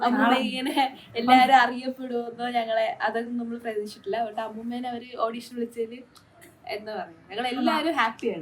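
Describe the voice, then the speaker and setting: Noticeable background noise sits behind a high-pitched woman's voice. Her loudness swings widely. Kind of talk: casual vlog talk to camera. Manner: excited, happy.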